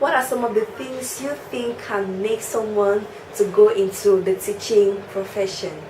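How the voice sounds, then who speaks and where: Noticeable background noise and audible room echo fill the recording. The woman's delivery is fairly slow. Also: medium pitch for a woman, ordinary pitch variation. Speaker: teacher and vlogger. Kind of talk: casual vlog talk.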